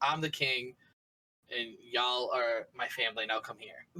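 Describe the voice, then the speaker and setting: With a Boston accent, a man speaks fairly slowly in a bright, sharp tone. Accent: Boston-area. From Massachusetts, near Boston (Taunton). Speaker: streamer. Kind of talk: podcast interview. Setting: live-streamed podcast.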